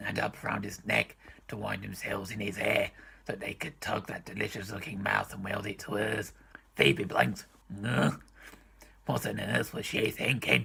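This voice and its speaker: Putting on a raspy character voice, a man speaks at a fairly low pitch and a moderate pace, broken by long, frequent pauses. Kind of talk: comedic book reading.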